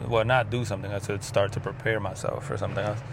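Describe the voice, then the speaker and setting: A man speaks at a fairly quick pace with fairly low pitch and monotone, flat intonation. Noticeable background noise and audible room echo are present. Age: 30s. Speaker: video diarist. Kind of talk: personal vlog monologue. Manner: halting.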